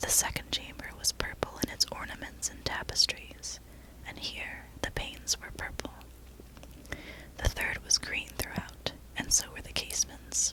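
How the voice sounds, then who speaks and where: Someone is whispering at a moderate pace against noticeable background noise. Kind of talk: whisper ASMR reading of a classic horror story. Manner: whispered.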